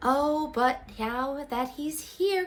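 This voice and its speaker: A woman uses a put-on character voice. It is high in pitch with a gentle tone. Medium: read story. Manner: gentle, kind.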